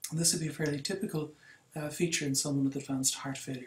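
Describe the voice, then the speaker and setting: In an Irish accent, a man speaks fairly quickly in a fairly high, somewhat breathy voice with fairly even intonation and audible room echo. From Ireland. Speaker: cardiologist lecturer. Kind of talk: lecture.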